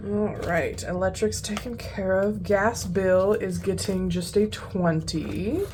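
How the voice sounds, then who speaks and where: A woman with an American accent speaks at a very slow pace. There is noticeable background noise and audible room echo. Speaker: budgeting youtuber. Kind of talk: casual chat.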